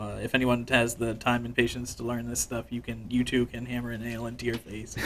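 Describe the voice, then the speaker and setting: Against noticeable background noise, a man speaks at a fairly quick pace with monotone, flat intonation. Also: medium pitch for a man. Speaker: sideshow performer. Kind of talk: interview answer, casual conversation.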